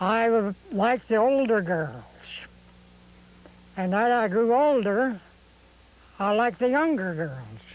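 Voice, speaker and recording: With a high pitch and lively intonation, a man speaks at a very slow pace, keeping his loudness very even between long, frequent pauses. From Oregon. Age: 80s+. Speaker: retired farmer and musician. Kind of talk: casual chat.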